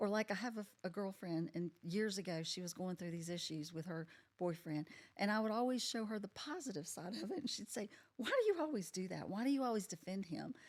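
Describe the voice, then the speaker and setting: In an unremarkable speaking voice, a woman of medium pitch talks at a fairly quick pace with lively intonation. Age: 60s. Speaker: podcast guest sharing life story. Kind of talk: casual interview chat.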